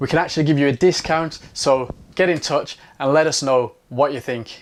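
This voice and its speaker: On a very clean recording with a silent background, a man with a Birmingham accent talks at a moderate pace in an upbeat tone and a fairly high pitch. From Birmingham, England. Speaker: photography teacher. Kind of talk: sales pitch. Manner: casual, upbeat.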